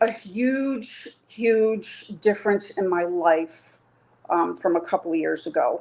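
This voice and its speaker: Speaking very slowly with an American accent, a woman uses lively intonation at a medium pitch. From New York. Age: 50s. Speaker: coaching client. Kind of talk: interview answer.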